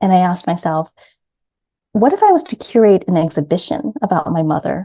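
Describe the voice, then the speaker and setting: Her voice is medium-pitched, somewhat breathy and dark and mellow in tone. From US, New York City. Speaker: grief coach. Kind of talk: interview.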